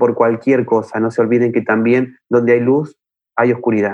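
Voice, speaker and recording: A man's medium-pitched voice in a Buenos Aires accent, with monotone, flat intonation. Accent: Rioplatense Spanish (Buenos Aires). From Argentina, Buenos Aires. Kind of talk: interview conversation.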